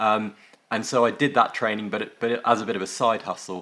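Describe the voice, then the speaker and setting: In an English accent, a man talks at a fairly quick pace with a bright, sharp tone. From northwest England. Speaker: tech company founder and former surgeon. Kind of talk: interview. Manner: hesitant, many fillers.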